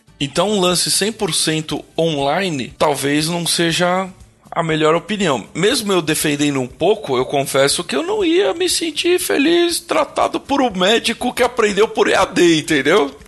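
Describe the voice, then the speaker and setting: Over noticeable background noise, a man speaks in a high pitch. His intonation is lively and his pace fairly slow. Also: hardly any pauses. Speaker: podcast co-host, electrical engineer. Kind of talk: casual chat.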